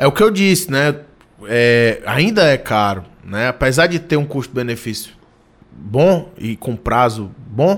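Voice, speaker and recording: Speaking at a fairly slow pace, a man with a medium pitch swings his voice very widely up and down. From Ceará interior, Brazil (Ipu). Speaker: state politician. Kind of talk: radio interview. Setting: studio.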